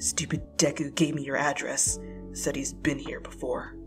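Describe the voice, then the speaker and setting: A gruff, growling put-on character voice moves at a moderate pace. Music plays clearly in the background. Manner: gruff, growling but gentle.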